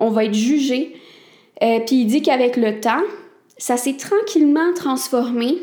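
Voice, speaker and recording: Someone with a Quebec accent speaks at a fairly slow pace, with audible room echo. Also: woman. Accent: Québécois French. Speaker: podcast host. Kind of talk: solo talk. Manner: casual, conversational.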